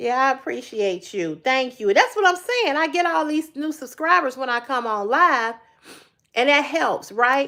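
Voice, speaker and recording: Projecting her raised voice, a woman with a high pitch and a bright, sharp tone talks at a moderate pace with very wide pitch swings. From Chicago, South Side. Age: 50s. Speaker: YouTube live streamer. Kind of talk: casual live stream chat. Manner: halting, repetitive.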